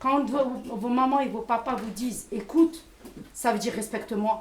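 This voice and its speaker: A woman speaks with a high pitch, her voice carrying audible room echo over noticeable background noise. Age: 50s. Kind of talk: public testimony and discussion. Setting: community centre event with audience. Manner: hesitant, repeats words.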